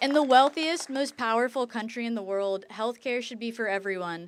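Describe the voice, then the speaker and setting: Speaking fairly quickly in a normal speaking voice, a woman with an American accent has a fairly high pitch and ordinary pitch variation. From rural US. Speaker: medical student. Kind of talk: prepared speech.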